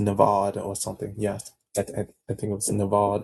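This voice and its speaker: A man talks in a fairly low pitch with a somewhat breathy quality. His intonation stays monotone and flat. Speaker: video creator. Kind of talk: casual monologue. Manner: halting, many fillers.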